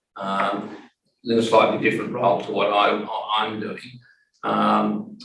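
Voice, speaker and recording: Long, frequent pauses mark a man's fairly slow speech, heard with audible room echo. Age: 60s. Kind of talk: panel discussion.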